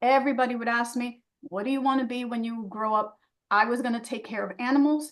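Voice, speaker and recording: In a Spanish accent, a woman talks at a fairly quick pace and a fairly high pitch. Her pitch varies in an ordinary way. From New York City, Dominican family. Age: 60s. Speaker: fine art photographer and portrait artist. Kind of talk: casual interview chat.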